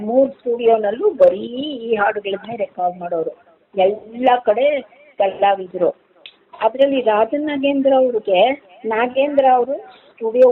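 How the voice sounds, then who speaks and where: This woman has a normal speaking voice at a fairly high pitch. Her pitch variation is ordinary. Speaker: retired radio singer. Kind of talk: interview.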